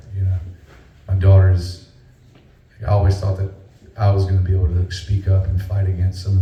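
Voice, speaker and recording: In a Southern accent, a man with a very deep, low pitch and a dark, mellow, somewhat breathy tone speaks at a very fast pace in a monotone, flat intonation, with audible room echo. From North Carolina. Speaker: singer-songwriter. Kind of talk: live stage banter between songs. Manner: halting, many fillers.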